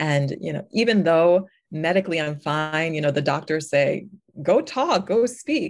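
An unremarkable speaking voice with an American accent, at a fairly slow pace and with ordinary pitch variation. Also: woman, fairly low pitch for a woman. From US Northeast (New York). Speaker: stroke survivor and ministry speaker. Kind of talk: interview testimony.

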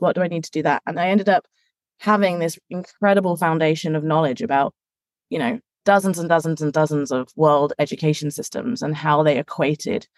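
With an English accent, a woman talks at a fairly quick pace with ordinary pitch variation, in a dry, close sound with no echo. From England. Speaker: education industry manager. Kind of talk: interview.

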